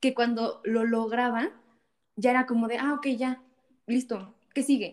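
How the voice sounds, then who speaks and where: The woman's voice is high in pitch, with ordinary pitch variation. She talks at a fairly slow pace. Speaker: church volunteer, social projects worker. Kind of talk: casual chat.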